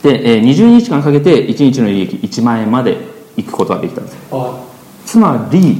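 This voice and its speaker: Over noticeable background noise, a man with a fairly high pitch speaks at a moderate pace in an animated tone, his pitch swinging very widely. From Chiba, Funabashi. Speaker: entrepreneur, business partner of host. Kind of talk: casual podcast interview. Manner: animated, laughs often.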